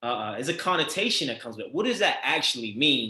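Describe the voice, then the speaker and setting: A man with a Baltimore accent talks at a fairly quick pace in a medium pitch. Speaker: podcast host. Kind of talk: interview.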